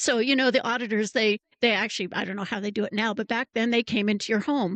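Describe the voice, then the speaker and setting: The delivery is very fast with fairly even intonation, recorded with a dry, close sound with no echo over a quiet background. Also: woman, fairly high pitch for a woman. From California. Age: 60s. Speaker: educator and founder. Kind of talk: interview.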